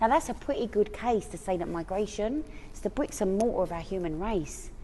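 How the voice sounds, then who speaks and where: A woman at medium pitch and a moderate pace. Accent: Cockney. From East London. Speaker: spoken word poet. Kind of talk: spoken word poetry performance.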